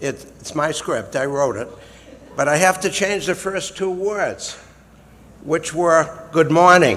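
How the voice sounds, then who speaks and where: Noticeable background noise sits behind a man with a Massachusetts accent and a high pitch. He talks at a fairly slow pace with ordinary pitch variation and long, frequent pauses. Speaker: retired lawyer and Air Force veteran. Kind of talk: prepared speech introduction.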